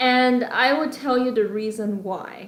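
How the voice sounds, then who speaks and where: A woman with a Chinese accent. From China. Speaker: graduate student. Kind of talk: personal testimony. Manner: hesitant, many fillers.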